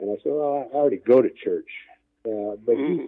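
A man speaks with an Inland North American accent. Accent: Midwestern American (Inland North). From northwest Indiana (Gary). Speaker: men's ministry leader. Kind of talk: interview.

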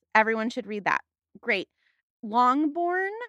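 In a Californian accent, a woman speaks with lively intonation at a moderate pace, her pitch high. Her tone is bright and sharp, and the sound is dry and close with no echo. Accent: Californian American. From US West Coast, San Fernando Valley, Los Angeles. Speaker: podcast guest, literature enthusiast. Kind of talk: casual chat.

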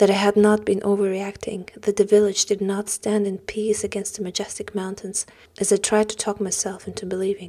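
This woman talks at a fairly quick pace in a medium pitch, her intonation monotone and flat and her tone dark and mellow. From Germany, Russian-German background. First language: German or Russian. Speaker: novelist and actress. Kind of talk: reading aloud then interview conversation. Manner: hesitant, self-conscious.

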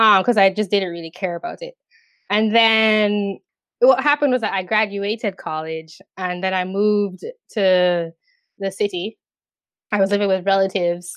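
Speaking with a Jamaican accent, a woman talks at a moderate pace in a medium pitch with fairly even intonation, leaving long, frequent pauses, and the sound is dry and close with no echo against a quiet background. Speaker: YouTube commentator. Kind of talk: casual interview.

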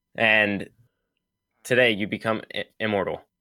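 A man with a fairly low pitch and a bright, sharp tone speaks at a fairly slow pace. The recording is very clean, with a silent background. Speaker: automation engineer. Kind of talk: casual chat.

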